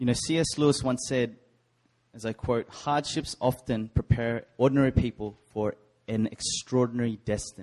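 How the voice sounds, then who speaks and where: A man speaks at a moderate pace with an Australian accent. His pitch is medium and his intonation fairly even. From Sydney, Australia. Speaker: preacher. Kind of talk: sermon. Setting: church.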